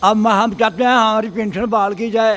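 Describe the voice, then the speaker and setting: The man's voice sits at a high pitch. His intonation stays fairly even. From Pakistan-administered Kashmir. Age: 80s+. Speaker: pensioner at protest. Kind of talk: street interview.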